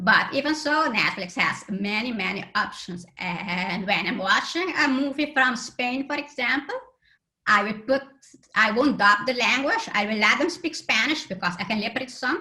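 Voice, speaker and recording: The voice swings very widely in pitch at a moderate pace, with a bright, sharp tone. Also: woman. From Aruba. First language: Papiamento. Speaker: accessibility conference speaker. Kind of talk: conference talk.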